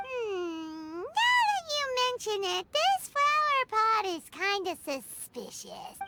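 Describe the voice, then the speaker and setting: In a cartoonish character voice, squeaky and extremely high in pitch, the speaker goes at a very slow pace with hardly any pauses. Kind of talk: cartoonish game companion. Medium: video game. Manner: chatty, excitable.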